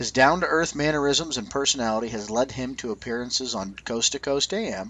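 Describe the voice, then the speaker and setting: Speaking fairly quickly with lively intonation, a man has an ordinary speaking voice. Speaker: radio show host. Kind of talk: radio talk show.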